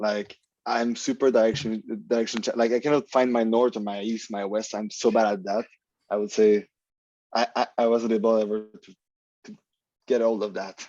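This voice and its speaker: A man with a Quebec accent and a medium pitch speaks at a moderate pace in a dark, mellow tone with monotone, flat intonation. His loudness swings widely, and he leaves long, frequent pauses. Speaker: consultant and presenter. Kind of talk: casual chat. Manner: halting.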